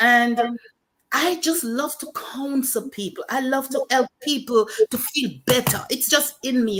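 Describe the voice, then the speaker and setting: A woman speaks at a fairly slow pace with a Jamaican accent. Her voice sits high in pitch. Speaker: pastor and author. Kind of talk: testimony.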